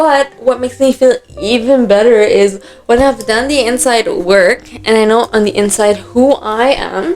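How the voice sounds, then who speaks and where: A woman's high voice carries over music in the background. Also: ordinary pitch variation, fairly slow pace. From Dubai. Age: 20s. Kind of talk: casual talk to camera. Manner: upbeat.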